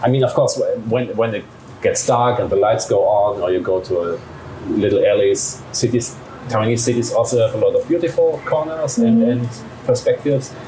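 Someone with a German accent speaks at a fairly quick pace against noticeable background noise. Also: man. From Germany. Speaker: journalist. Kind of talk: interview.

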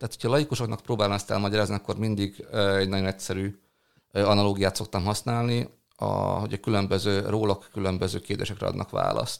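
A man at a fairly low pitch and fairly quick pace, monotone and flat, in a very clean recording with a silent background. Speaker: product manager. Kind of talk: interview. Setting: office.

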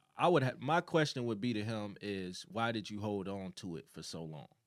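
Here a man talks at a medium pitch and moderate pace with an American accent and lively intonation. His is an unremarkable speaking voice. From Chicago, South Side. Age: 20s. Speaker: podcast co-host. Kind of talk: casual chat.

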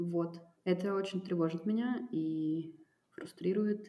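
A woman's fairly low voice, with ordinary pitch variation and a very slow pace. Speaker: cultural producer and foundation director. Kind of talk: casual interview conversation. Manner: hesitant, many fillers.

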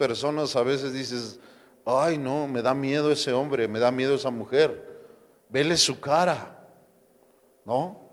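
In a Mexican accent, the speaker goes at a fairly slow pace. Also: man. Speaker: pastor. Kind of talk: sermon.

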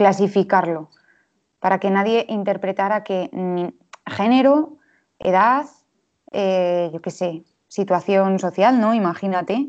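Speaking at medium pitch, a woman goes at a very slow pace. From Spain, Valladolid. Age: 20s. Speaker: illustrator. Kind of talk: casual interview.

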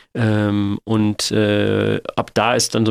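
A man speaks in a fairly low voice. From Germany, Sindelfingen area (Swabia). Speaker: funeral director and company founder. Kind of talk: interview. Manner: hesitant with many filler sounds.

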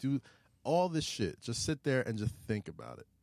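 This man speaks with a New York accent and a dark, mellow tone. The recording is very clean with a silent background, and his pitch varies in an ordinary way. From New York City (Queens, Staten Island). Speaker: media personality and podcast host. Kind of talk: casual chat. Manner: fast, talkative.

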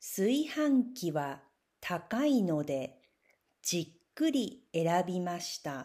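A woman speaks very slowly in a fairly low, dark, mellow voice with very wide pitch swings. The recording is very clean, the background silent. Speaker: Japanese language teacher. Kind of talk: reading aloud.

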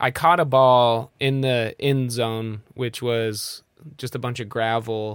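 In a very clean recording with a silent background, a man speaks at a very slow pace. His pitch is medium. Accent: American. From Nebraska, US Midwest. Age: 30s. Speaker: comedian. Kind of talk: casual chat. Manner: animated.

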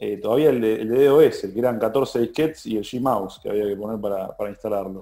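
A man's medium-pitched voice with a dark, mellow tone and ordinary pitch variation, on a very clean recording with a silent background. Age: 30s. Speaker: bank innovation manager. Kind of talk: interview.

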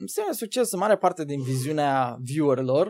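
The man's voice sits fairly high in pitch. It carries a dark, mellow tone. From Romania, Bacău county (Moldavia). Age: 20s. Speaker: gaming content creator and streamer. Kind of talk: casual interview.

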